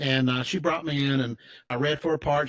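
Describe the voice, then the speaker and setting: A man with an American accent speaks at a fairly high pitch with fairly even intonation. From Tennessee, US South. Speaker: financial advisor. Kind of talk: interview storytelling. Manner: casual, halting with false starts.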